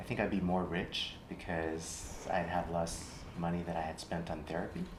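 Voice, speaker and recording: A man's very deep, low voice in a flat monotone at a moderate pace, with audible room echo and noticeable background noise. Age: 60s. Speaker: clinician in training. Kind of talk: therapy role-play demonstration. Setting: training workshop in Austin, Texas.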